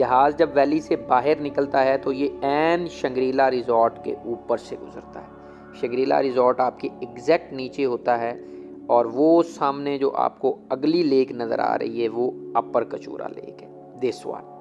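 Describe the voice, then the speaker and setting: Over clear music in the background, a man talks with big swings in loudness. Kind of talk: commentary. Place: plane. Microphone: phone near.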